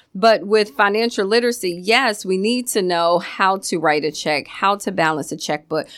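With an American accent and an ordinary speaking voice, this speaker talks at a moderate pace with ordinary pitch variation and hardly any pauses on a very clean recording with a silent background. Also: woman, medium pitch for a woman. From Virginia. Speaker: nonprofit founder. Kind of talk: radio interview.

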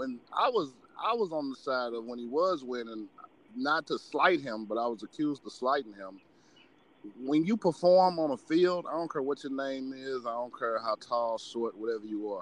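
This man has an ordinary speaking voice, lively intonation, and a moderate pace. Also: medium pitch for a man. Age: 30s. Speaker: sports podcast host. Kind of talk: casual chat.

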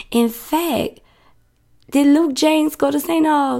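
A woman with an American accent speaks in an animated tone at a fairly slow pace. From New Orleans, US South. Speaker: podcast host. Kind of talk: casual solo podcast monologue.

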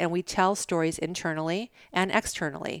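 A woman with an unremarkable speaking voice talks at a fairly low pitch, her intonation fairly even. The sound is dry and close with no echo, and the recording is very clean, with a silent background. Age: 50s. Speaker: brand strategist and podcaster. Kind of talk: casual interview. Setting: at her home.

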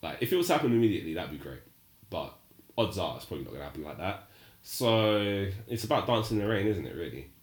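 Talking very fast, a man with a fairly low pitch and vocal fry swings his pitch very widely. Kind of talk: casual banter chat, podcast.

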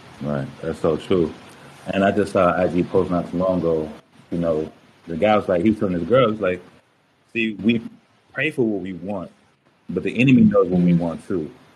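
A man's very deep, low voice with ordinary pitch variation and long, frequent pauses, music in the background. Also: moderate pace. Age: 30s. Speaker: motivational speaker and podcast host. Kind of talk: casual chat.

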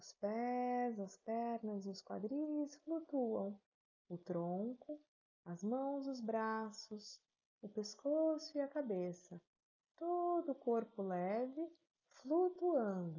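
Speaking very slowly, a woman with a fairly high voice uses a calm, soothing tone and very wide pitch swings. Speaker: yoga nidra guide. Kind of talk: guided meditation. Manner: slow, soft, calm and soothing, with long pauses; gentle, measured, instructive.

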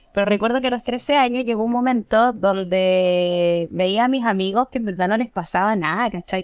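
A woman with a Chilean accent at a medium pitch, with ordinary pitch variation, in a very clean recording with a silent background. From Chile, Santiago (Estación Central). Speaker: cannabis grower and educator. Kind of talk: casual chat.

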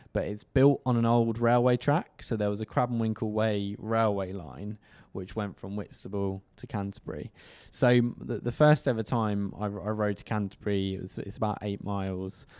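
A man talks with a southern English accent. The recording is very clean, with a silent background. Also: fairly low pitch for a man, ordinary pitch variation, moderate pace. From Kent, southeast England. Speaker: cycle commuter, podcast co-host. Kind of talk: casual interview chat.

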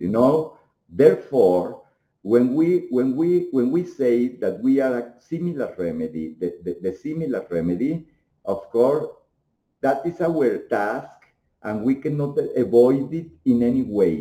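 A man with a Mexican accent speaks at a fairly slow pace, medium in pitch. His tone is dark and mellow, and his pitch swings very widely. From Mexico. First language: Spanish. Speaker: homeopathic doctor and researcher. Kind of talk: interview. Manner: halting.

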